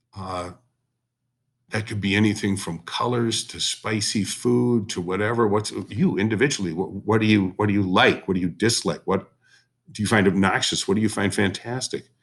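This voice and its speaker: A man with an unremarkable speaking voice talks at a moderate pace. His pitch is fairly low, with ordinary variation. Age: 60s. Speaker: history teacher. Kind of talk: recorded class lesson. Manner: conversational.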